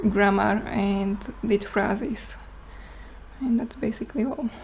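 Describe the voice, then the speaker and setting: In a Slovak accent, a woman speaks at a fairly slow pace and medium pitch with fairly even intonation. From Slovakia. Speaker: student presenter. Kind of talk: class presentation Q&A. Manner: halting.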